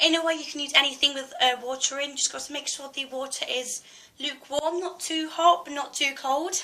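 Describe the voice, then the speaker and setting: Over noticeable background noise, a woman with a British accent projects a raised, high-pitched voice with fairly even intonation. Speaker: beauty vlogger. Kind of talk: tutorial. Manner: hesitant, many fillers.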